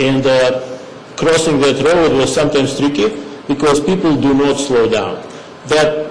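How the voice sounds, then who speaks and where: A man with a non-native accent speaks at a very slow pace and a fairly high pitch. The room echo is audible, along with noticeable background noise. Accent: foreign accent, noticeable. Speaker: resident speaking at public meeting. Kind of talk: public comment at town meeting. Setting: town hall meeting. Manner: halting.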